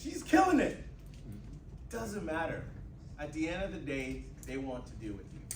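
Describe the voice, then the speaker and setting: A man talks at a moderate pace with long, frequent pauses and big swings in loudness. Noticeable background noise and audible room echo fill the recording. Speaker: IT business owner, entrepreneur speaker. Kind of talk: motivational talk with Q&A. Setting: university classroom with audience. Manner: high energy.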